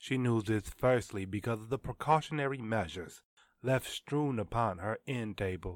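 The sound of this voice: In an unforced reading voice, the speaker shows ordinary pitch variation.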